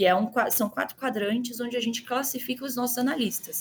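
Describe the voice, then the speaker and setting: A woman with a Minas Gerais accent talks at a fairly quick pace in a fairly high pitch with ordinary pitch variation. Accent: Minas Gerais Brazilian Portuguese. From Brazil, Minas Gerais (Belo Horizonte). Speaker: customer success manager. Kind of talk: podcast interview.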